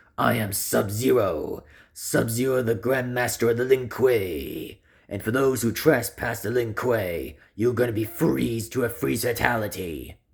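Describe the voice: Using a raspy, put-on character voice, a man talks at a medium pitch. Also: moderate pace.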